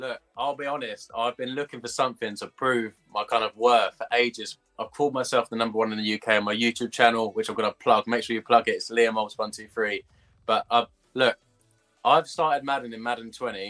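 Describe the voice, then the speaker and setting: Over music in the background, a man with an English accent speaks at a fairly quick pace and medium pitch with fairly even intonation, the sound dry and close with no echo. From England. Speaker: esports gamer. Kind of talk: interview. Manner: casual.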